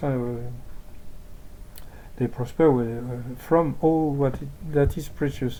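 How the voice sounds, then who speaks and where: Speaking very slowly, a man talks with a French accent. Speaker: amateur translator of religious texts. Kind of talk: reading aloud with commentary. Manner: halting.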